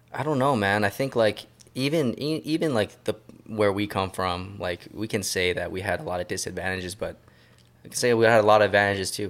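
Fairly quick and fairly low in pitch, a man talks in a plain, everyday voice with ordinary pitch variation. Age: 30s. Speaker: podcast host. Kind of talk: casual chat.

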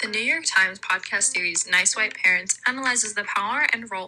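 Through noticeable background noise, a woman with an American accent talks at a fairly quick pace with ordinary pitch variation. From San Diego, California (Chula Vista, near the Mexican border). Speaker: university student podcast host. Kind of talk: scripted class-project podcast narration.

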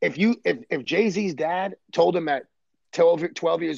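A man with an American accent, fairly high pitch and ordinary pitch variation. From Brooklyn, New York. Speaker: baseball coach. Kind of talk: casual chat.

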